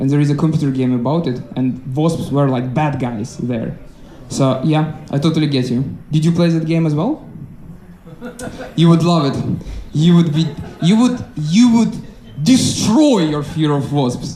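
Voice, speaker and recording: With a non-native accent, a man speaks at a moderate pace with long, frequent pauses, his fairly high voice lively in intonation, amid noticeable background noise and audible room echo. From Ukraine. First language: not English. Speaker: stand-up comedian. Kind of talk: stand-up crowd work. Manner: halting, many fillers.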